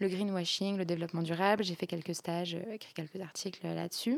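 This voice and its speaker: A woman speaks at a medium pitch with fairly even intonation. The recording is very clean, with a silent background. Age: 20s. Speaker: student and eco-feminist social media activist. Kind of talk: interview conversation. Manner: hesitant, frequent repetitions and fillers.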